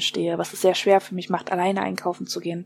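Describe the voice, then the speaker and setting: The speaker is a woman with a medium pitch. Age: 20s. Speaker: interviewee with mental illness. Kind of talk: interview.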